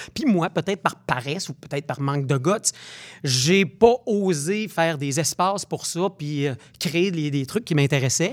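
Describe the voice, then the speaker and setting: An unremarkable speaking voice from a man, fairly high in pitch with ordinary pitch variation, at a fairly slow pace, dry and close with no echo. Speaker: actor and stage director. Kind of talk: interview. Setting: studio.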